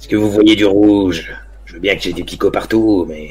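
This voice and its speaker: A man puts on a gruff character voice at a fairly low pitch. He speaks at a moderate pace over light background noise. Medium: actual play. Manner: gruff, insulting.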